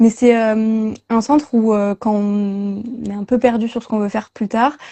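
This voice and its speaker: Her fairly high voice moves at a fairly slow pace, the woman keeping her intonation fairly even. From southwest France. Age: 20s. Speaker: marine biology student. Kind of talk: interview. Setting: livestream. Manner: hesitant, many fillers.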